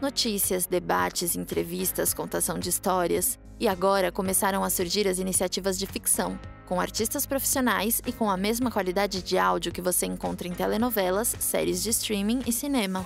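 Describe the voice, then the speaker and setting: With music playing in the background, a woman speaks with hardly any pauses. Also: moderate pace. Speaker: voice actor. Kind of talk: informative podcast narration.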